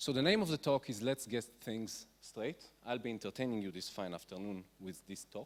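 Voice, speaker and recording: A man speaks in an ordinary speaking voice, keeping a medium pitch, ordinary pitch variation and a moderate pace. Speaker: physician. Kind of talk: conference talk.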